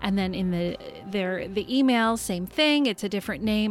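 The speaker moves at a fairly quick pace. Background noise is noticeable. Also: woman. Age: 40s. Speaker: podcast host. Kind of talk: casual solo monologue. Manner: halting.

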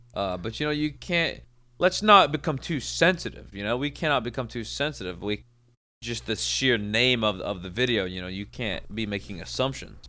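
Here a man talks at a moderate pace. The recording is very clean, with a silent background. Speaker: podcast guest. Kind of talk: casual chat. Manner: loud. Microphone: microphone too close, peaking.

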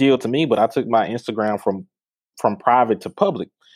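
Here a man talks in a normal speaking voice at medium pitch. His pace is fairly quick. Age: 30s. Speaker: pastor. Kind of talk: casual chat.

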